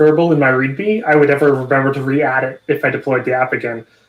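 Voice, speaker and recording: This man speaks with a Canadian accent. His pitch is fairly high and his intonation fairly even. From Canada. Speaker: tech livestream co-host. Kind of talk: casual chat. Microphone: video call.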